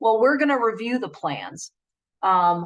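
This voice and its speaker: A fairly high-pitched woman with an American accent and lively intonation. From Chicago (Southwest side). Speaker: benefits manager. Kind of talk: work presentation (online lunch and learn). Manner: casual, conversational.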